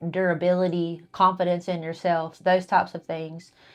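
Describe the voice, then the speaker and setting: This is a woman with a fairly low pitch. The background is quiet. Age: 30s. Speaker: fitness coach and podcast co-host. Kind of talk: casual chat. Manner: animated.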